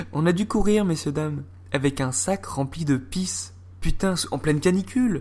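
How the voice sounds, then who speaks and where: On a very clean recording with a silent background, a man speaks at a fairly high pitch with very wide pitch swings. His tone is dark and mellow, and somewhat breathy. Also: moderate pace. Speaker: YouTuber storyteller. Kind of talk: casual storytelling. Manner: animated.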